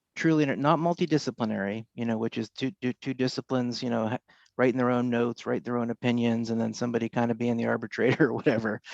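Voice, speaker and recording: A soft-spoken man talks at a very fast pace with medium pitch and fairly even intonation, in a dry, close sound with no echo over a quiet background. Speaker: faculty member. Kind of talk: audience question. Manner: halting, many fillers.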